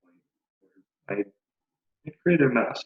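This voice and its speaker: A man mumbles in a dry, close recording with no echo. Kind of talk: casual talk to camera. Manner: mumbled.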